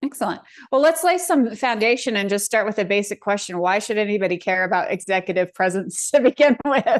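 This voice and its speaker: In a quiet background, a woman with an ordinary speaking voice talks at a fairly quick pace and fairly high pitch, her intonation lively. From Colorado. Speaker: podcast host. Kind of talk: podcast interview.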